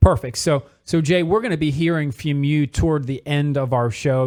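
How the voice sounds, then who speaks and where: A man with a plain, everyday voice and an American accent, moderate pace, ordinary pitch variation, in a very clean recording with a silent background. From Philadelphia area, US. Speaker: radio show host, mortgage loan officer. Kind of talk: radio talk show interview.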